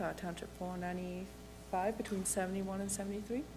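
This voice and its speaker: Music plays in the background while a woman talks. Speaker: municipal staff presenter. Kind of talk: report presentation. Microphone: too far from the mic at first.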